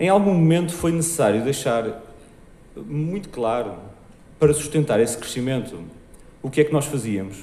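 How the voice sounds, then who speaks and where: A man's lively intonation is heard with audible room echo. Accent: European Portuguese. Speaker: marketing director. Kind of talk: conference talk. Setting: stage with audience. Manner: fast.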